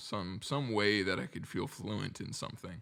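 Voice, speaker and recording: A man speaks with lively intonation at a fairly low pitch, with vocal fry. The recording is very clean, with a silent background. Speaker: music producer. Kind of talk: interview. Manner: halting.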